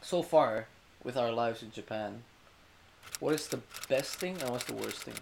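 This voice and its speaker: A man speaks with an Indonesian accent. Noticeable background noise can be heard. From Indonesia, Jakarta. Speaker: university student. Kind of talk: casual chat.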